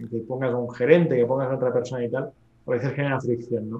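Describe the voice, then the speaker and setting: Very fast and in a monotone, flat intonation, a man speaks at a medium pitch. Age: 30s. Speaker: real estate investor. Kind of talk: interview.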